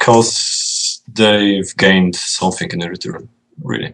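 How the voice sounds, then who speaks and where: A man with a Polish accent speaks in a fairly low pitch with ordinary pitch variation. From Poland. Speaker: video game designer. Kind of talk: interview.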